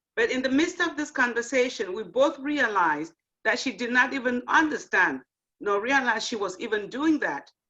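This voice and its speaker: A woman speaks in a high pitch at a moderate pace. Her bright, sharp tone comes with very wide pitch swings. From Africa. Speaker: nurse educator and event host. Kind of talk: closing remarks at online panel event.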